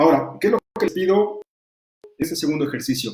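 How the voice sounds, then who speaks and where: The pace is very fast. The tone is dark and mellow. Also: man. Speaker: law lecturer and defense lawyer. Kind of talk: online lecture. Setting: virtual class.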